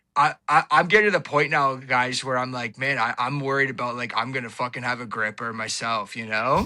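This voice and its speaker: In an Ontario accent, a man speaks at a fairly quick pace in a bright, sharp tone, his pitch medium with ordinary pitch variation. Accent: Canadian (Ontario). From Ontario, Canada. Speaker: podcaster and social media personality. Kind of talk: casual chat. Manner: animated.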